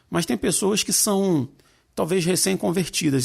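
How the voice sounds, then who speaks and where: With vocal fry and lively intonation, a man speaks at a fairly high pitch and a moderate pace on a very clean recording with a silent background. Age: 40s. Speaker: podcast host. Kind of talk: casual chat.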